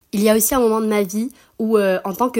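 A woman's medium-pitched voice, an ordinary speaking voice, at a moderate pace with fairly even intonation. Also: very clean recording, silent background. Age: 20s. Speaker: student. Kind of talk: recorded testimony.

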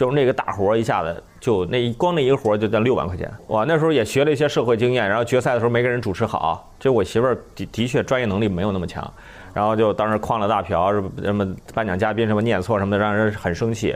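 Talking very fast, a man keeps a medium pitch with ordinary variation. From northern China. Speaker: comedian, former radio news commentator. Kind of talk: casual chat.

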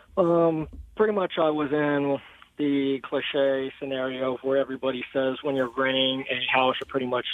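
A man's medium-pitched voice at a moderate pace, fairly even in intonation, with noticeable background noise. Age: 30s. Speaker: caller to a finance call-in show. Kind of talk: call-in question.

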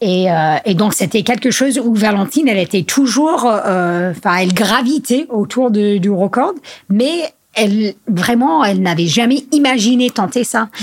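Over noticeable background noise, a woman with an English accent talks at a fairly slow pace in a fairly high pitch, her intonation lively and her loudness very even. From US Northeast (Vermont). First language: English (speaking French). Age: 30s. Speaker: trail and skyrunning athlete. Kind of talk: casual interview. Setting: at her home. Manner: halting, many hesitations.

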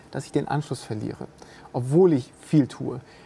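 A woman with a dark, mellow, somewhat breathy tone speaks with lively intonation. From bilingual French-German household. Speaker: business leader. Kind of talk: casual interview conversation.

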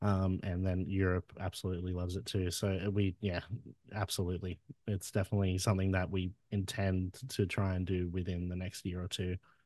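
A man's very deep, low voice with an Australian accent, monotone and flat, at a fairly quick pace, on a very clean recording with a silent background. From Wollongong, Australia. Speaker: musician, singer in a band. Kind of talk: casual interview chat. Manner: casual, swears a lot.

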